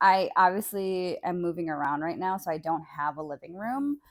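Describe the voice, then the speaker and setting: A woman speaks at a fairly slow pace with very wide pitch swings. The recording is very clean and the background silent. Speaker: solo podcaster. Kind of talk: casual solo podcast monologue. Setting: bedroom, on a bed. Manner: casual, filler-heavy.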